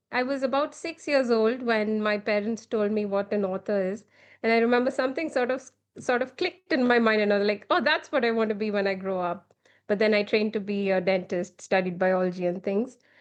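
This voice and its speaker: A woman with an Indian accent speaks at a fairly quick pace, her fairly high pitch showing ordinary variation. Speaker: children's author and illustrator. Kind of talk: podcast interview.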